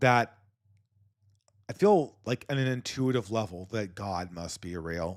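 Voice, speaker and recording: Over a silent background in a very clean recording, a man with an American accent talks at a very slow pace with very wide pitch swings. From California. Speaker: podcast host. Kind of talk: podcast commentary reading viewer donations. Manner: halting, many repeated words.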